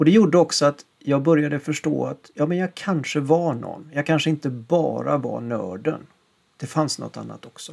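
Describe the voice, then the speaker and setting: A normal speaking voice from a man, fairly high in pitch, at a moderate pace with ordinary pitch variation and big swings in loudness. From western Sweden, Gothenburg area. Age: 50s. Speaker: podcast host, musician. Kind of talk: scripted narration.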